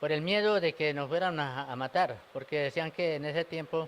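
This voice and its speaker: A man's voice with a fairly high pitch. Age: 60s. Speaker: elderly witness of the war. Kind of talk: interview testimony. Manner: halting.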